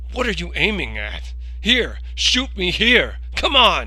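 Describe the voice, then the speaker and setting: A man uses a put-on character voice at a fairly slow pace. Noticeable background noise sits behind him. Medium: solo performance.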